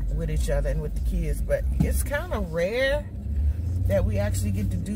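Loud background noise behind a woman speaking. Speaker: vlogger. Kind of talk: casual vlog chat. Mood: relaxed, chatty. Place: car. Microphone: phone near.

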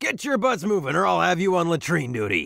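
A man puts on a gruff character voice, pitched high for a man, at a fairly quick pace. The recording is very clean with a silent background. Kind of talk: military. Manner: barking, gruff, commanding.

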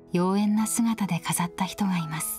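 With clear music playing behind her, a woman talks at a fairly slow pace with fairly even intonation. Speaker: TV announcer narrating a documentary. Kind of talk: documentary narration. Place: studio.

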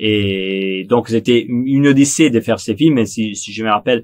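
A man with a Neapolitan accent talks at a fairly slow pace over a quiet background. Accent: Italian (Neapolitan) accent in French. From Italy, Naples; Italy. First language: Italian (speaking French). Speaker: film director. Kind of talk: interview monologue. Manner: halting, frequent repetitions and hesitations.

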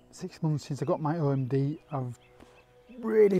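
A man speaks over faint background music, the sound dry with no echo. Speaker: landscape photographer vlogger. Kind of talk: tutorial. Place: open country. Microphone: lapel.

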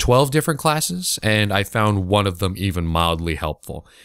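A man speaks in a plain, everyday voice at a moderate pace. His pitch sits fairly low. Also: very clean recording, silent background. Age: young (19). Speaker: podcast host and Twitch streamer. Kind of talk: casual solo podcast monologue.

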